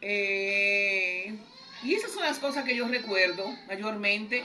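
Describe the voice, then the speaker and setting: A woman's fairly high voice, with ordinary pitch variation, carries through audible room echo and noticeable background noise. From Dominican Republic. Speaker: interviewee recalling history. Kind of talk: interview testimony.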